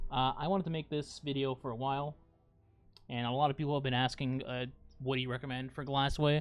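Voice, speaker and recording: Over music in the background, a man speaks very fast in a fairly high pitch with a monotone, flat intonation. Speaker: gaming streamer and guide creator. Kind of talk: tutorial. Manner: casual, with hesitations.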